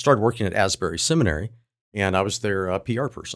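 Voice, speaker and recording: Very fast, a man talks with ordinary pitch variation in a very clean recording with a silent background. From Southeast Ohio. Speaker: philosophy professor and author. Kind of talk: interview.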